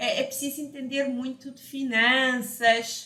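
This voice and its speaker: Fairly slowly, a woman talks in a high voice. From Portugal. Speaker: financial educator. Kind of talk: online lesson.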